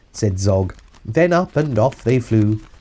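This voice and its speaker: A man's somewhat breathy voice has a dark, mellow tone and a fairly low pitch. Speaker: father reading a children's book aloud. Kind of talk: rhyming narration, storybook narrator. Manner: expressive.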